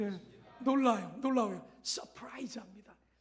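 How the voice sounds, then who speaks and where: Audible room echo around a man's voice of ordinary pitch variation. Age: 60s. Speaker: missionary pastor. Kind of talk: sermon. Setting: church. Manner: halting.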